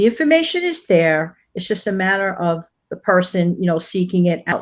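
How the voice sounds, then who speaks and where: In an ordinary speaking voice, a woman at medium pitch speaks at a moderate pace with ordinary pitch variation against a quiet background. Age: 60s. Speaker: channel contributor. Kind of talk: casual chat.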